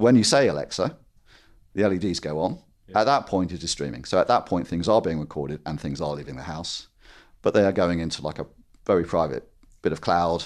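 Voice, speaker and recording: A man with a very deep, low voice and vocal fry talks at a fairly quick pace with lively intonation and long, frequent pauses. The background is quiet. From Scotland, Dundee. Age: 50s. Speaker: tech entrepreneur. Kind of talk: interview. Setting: in-person, face to face.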